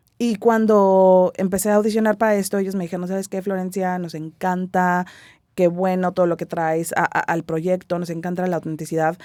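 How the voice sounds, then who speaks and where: Heard at a moderate pace over a silent background, the voice has a dark, mellow tone in a very clean recording. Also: woman. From Mexico City. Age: 30s. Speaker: stage actress. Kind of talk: interview. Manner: casual, conversational.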